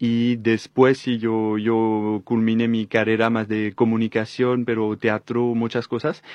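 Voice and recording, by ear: A man with a slightly mellow tone, fairly low pitch, fairly slow pace, and monotone, flat intonation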